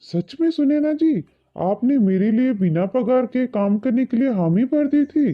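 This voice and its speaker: A fairly high-pitched, cartoonish character voice with hardly any pauses. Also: moderate pace. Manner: polite, addresses others respectfully.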